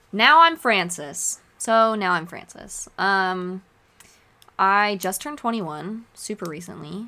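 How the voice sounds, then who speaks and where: The tone is bright and sharp, with lively intonation and a West Coast accent. The recording is very clean with a silent background. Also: woman. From Oregon. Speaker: podcast host, student. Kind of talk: solo podcast monologue. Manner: casual, laughing often.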